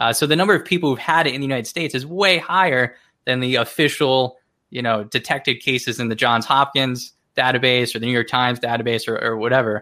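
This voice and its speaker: A man's medium-pitched voice at a very fast pace. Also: ordinary pitch variation. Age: 30s. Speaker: investment analyst. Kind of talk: casual chat.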